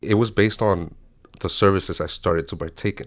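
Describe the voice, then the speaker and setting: A man's very deep, low voice on a very clean recording with a silent background. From Miami, Florida. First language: Spanish. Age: 30s. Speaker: recovering alcoholic. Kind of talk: testimony. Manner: halting.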